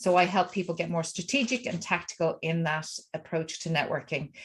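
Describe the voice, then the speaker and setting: A woman talks in a fairly low pitch at a moderate pace. Her voice is somewhat breathy. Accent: Irish. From Ireland. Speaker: networking coach. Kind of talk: self-introduction at networking meeting.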